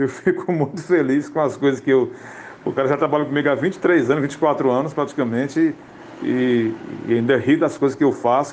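A man talks at a moderate pace with fairly even intonation and a fairly high pitch. He has an unremarkable speaking voice. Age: 60s. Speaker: radio comedian. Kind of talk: interview.

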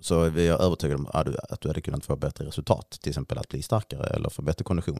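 Talking at a very fast pace with hardly any pauses, a man uses a very deep, low pitch, a dark, mellow tone, vocal fry and ordinary pitch variation, in a dry, close sound with no echo. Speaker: podcast co-host. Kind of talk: casual chat.

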